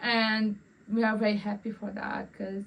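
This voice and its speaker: Fairly high and somewhat breathy, a woman's voice moves at a moderate pace. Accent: Romanian. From Romania. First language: Romanian. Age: 20s. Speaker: vlogger. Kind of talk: casual personal vlog. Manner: halting, repeats words.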